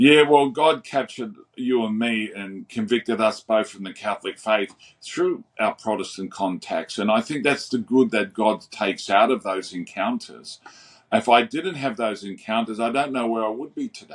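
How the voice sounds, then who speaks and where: Using an Australian accent, a man at a medium pitch talks at a moderate pace with ordinary pitch variation and big swings in loudness. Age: 60s. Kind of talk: interview conversation.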